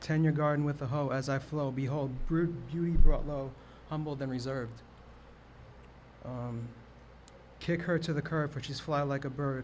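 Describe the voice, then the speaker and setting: A man with an American accent talks in a flat monotone, with long, frequent pauses and audible room echo. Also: moderate pace. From New York, the Bronx. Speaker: open mic poet. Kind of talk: poetry performance. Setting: stage with audience. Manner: stammering.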